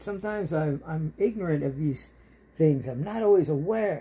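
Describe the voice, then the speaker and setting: A woman speaks at a fairly quick pace, her pitch swinging very widely. Her voice is somewhat breathy, with a dark, mellow tone. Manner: animated, scornful, sarcastic and sweary; ranting, rhetorical, mocking tone. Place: home room. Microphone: phone near.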